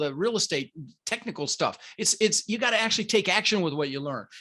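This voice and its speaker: The voice is raised and projected, with a General American accent, at a very fast pace. Its tone is bright, sharp and animated, with lively intonation. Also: man. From Denver, Colorado (immigrated from the Netherlands as a child). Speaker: real estate investor and podcast host. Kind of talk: podcast interview.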